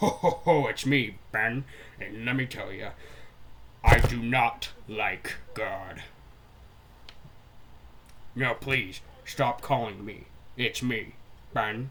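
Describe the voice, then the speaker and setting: A man's gravelly, put-on character voice at medium pitch, very slow with long, frequent pauses, over light background noise. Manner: jolly but gruff.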